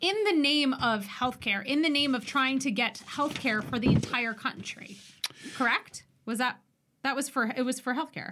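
With a raised, projected voice, a woman speaks at a moderate pace in a high pitch with ordinary pitch variation. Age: late 30s. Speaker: flight attendant and podcast co-host. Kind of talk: casual chat. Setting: studio.

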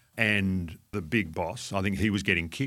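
On a very clean recording with a silent background, a man with an Australian accent speaks in a bright, sharp tone with ordinary pitch variation. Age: 60s. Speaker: fund manager. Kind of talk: interview.

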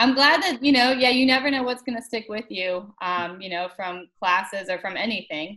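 A woman with a bright, sharp tone speaks at a moderate pace and a fairly high pitch. Her intonation is lively and she leaves hardly any pauses. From US South, Atlanta. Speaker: karate instructor. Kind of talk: casual chat.

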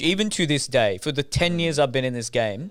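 A man with an Australian accent speaks at a fairly quick pace with lively intonation in a very clean recording with a silent background. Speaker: podcast guest. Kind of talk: casual chat.

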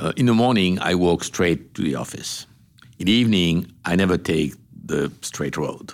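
Long, frequent pauses break up a man's speech. His pitch is very deep and low, yet his intonation is lively. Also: moderate pace. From Morocco. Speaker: business executive. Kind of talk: interview. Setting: in person interview in Washington, D C. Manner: halting.

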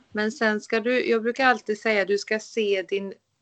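A normal speaking voice from a woman, medium in pitch, with fairly even intonation and a fairly slow pace. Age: 30s. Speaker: skin care therapist, clinic owner. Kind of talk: interview on a podcast.

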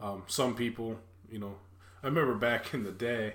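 A man with a plain, everyday voice speaks at a fairly quick pace. His pitch is fairly low and his intonation fairly even. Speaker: podcast host. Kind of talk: casual chat.

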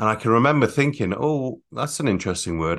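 Very wide pitch swings in a northern English accent against a quiet background. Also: man. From northern England (North Yorkshire, Catterick). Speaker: emotional intelligence coach. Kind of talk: interview.

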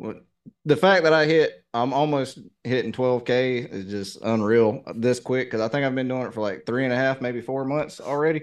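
With a Southern US accent, a man talks at a moderate pace and medium pitch, using ordinary pitch variation. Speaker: reaction YouTuber. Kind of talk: casual interview conversation. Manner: laid back.

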